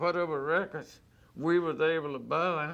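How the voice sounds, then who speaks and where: A man with a Virginia accent speaks in a bright, sharp tone at a fairly high pitch. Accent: rural Southern US (Virginia). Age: 60s. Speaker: blues musician. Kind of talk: storytelling interview.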